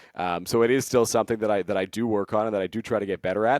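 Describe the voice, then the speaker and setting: A man talks very fast at a fairly low pitch with a Canadian accent and fairly even intonation. The sound is dry and close with no echo, in a very clean recording with a silent background. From Ontario, Canada. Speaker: sports play-by-play broadcaster. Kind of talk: podcast interview.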